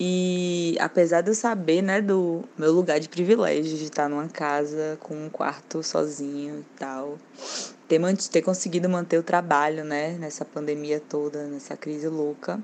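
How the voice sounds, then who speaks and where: A woman's very deep, low voice with fairly even intonation and big swings in loudness, over noticeable background noise. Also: fairly slow pace. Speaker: designer. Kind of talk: recorded monologue.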